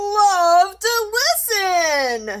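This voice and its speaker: At an extremely high pitch, the speaker puts on a character voice. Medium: read story. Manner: clipped, chirpy phrases.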